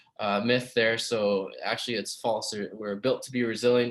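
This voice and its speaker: Medium pitch and a fairly quick pace in a man's speech. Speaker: physiotherapist. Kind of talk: webinar presentation. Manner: fast.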